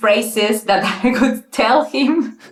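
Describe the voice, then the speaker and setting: A woman with a non-native accent speaks very slowly in a fairly high voice. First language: not English. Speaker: interview guest telling her dating story. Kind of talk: casual interview. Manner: halting, many fillers and restarts.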